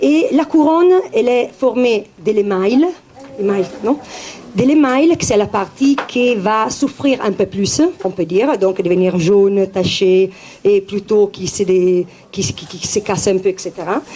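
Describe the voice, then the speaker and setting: A woman with an Italian accent speaks at a very slow pace, medium in pitch with lively intonation. Noticeable background noise is present. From Italy. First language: Italian (speaking French). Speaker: naturopath. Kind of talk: talk to public. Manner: halting, many hesitations.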